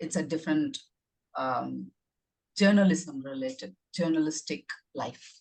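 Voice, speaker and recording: A woman with a Tamil accent speaks at a fairly slow pace with long, frequent pauses. Her pitch is very deep and low, with ordinary pitch variation. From India. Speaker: author. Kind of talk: casual chat. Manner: halting.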